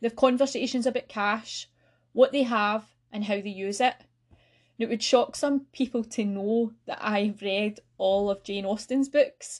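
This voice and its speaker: A woman's fairly high voice in a Lanarkshire accent, fairly slow and fairly even in intonation, on a very clean recording with a silent background. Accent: Scottish (Lanarkshire). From Scotland, North Lanarkshire. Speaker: financial education officer, podcast host. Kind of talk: solo educational podcast talk.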